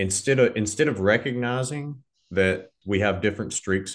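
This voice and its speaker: At a moderate pace, an unremarkable speaking voice with an American accent shows ordinary pitch variation against a quiet background. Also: man. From US South, Southern Arkansas. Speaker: podcast host. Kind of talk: scripted outro; interview conversation.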